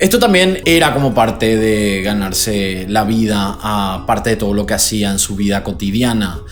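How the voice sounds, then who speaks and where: The speaker keeps a moderate pace. Music plays in the background. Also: man. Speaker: YouTube host. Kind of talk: true crime narration to camera. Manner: casual, conversational.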